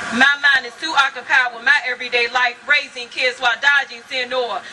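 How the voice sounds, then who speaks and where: A woman with a high pitch raises and projects her voice at a fairly quick pace, keeping her intonation fairly even amid noticeable background noise. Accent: American. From Virginia. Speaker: spoken word poet. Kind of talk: spoken word poetry performance.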